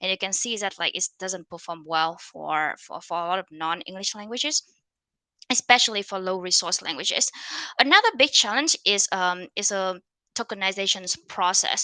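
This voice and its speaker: In a Vietnamese accent, a woman with a medium pitch and ordinary pitch variation speaks at a moderate pace, captured in a very clean recording with a silent background and a dry, close sound with no echo. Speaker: conference speaker on machine learning. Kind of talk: conference talk. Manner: many fillers and restarts.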